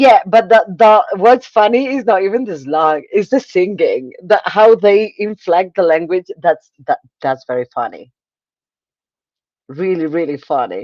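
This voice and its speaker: Recorded with a dry, close sound and no echo, a woman talks at a fairly slow pace and medium pitch, her voice swinging very widely in pitch. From Spain. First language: Spanish. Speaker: livestream host, booktuber. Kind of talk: casual livestream chat. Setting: livestream. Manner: halting, repeats words.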